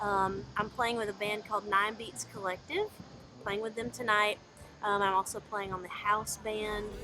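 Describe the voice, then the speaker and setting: A woman's medium-pitched voice with fairly even intonation and music in the background. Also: moderate pace. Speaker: singer-songwriter. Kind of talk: interview answer. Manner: casual, earnest.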